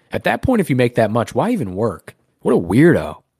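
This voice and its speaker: In a dry, close sound with no echo, a man with a dark, mellow tone and vocal fry makes very wide pitch swings. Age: 20s. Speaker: podcast co-host. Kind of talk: casual chat.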